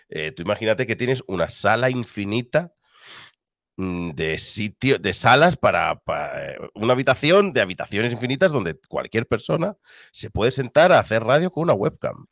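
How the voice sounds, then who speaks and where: Medium in pitch, a man's voice shows vocal fry and very wide pitch swings at a moderate pace. The recording is very clean with a silent background, dry and close with no echo. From Spain, Cartagena (Murcia). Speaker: esports caster and streamer. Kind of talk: casual chat. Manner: clear, easy to understand.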